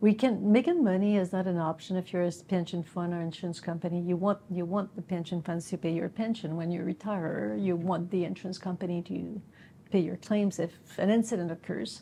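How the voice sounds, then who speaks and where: A woman's fairly low, dark, mellow voice, somewhat breathy, at a fairly quick pace. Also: ordinary pitch variation. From Quebec. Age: 50s. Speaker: business executive. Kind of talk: interview. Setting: recorded interview in Montreal.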